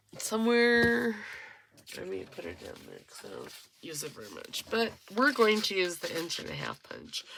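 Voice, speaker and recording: Quiet speech with big swings in loudness comes through over noticeable background noise. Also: woman, moderate pace. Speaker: crafting youtuber. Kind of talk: crafting tutorial.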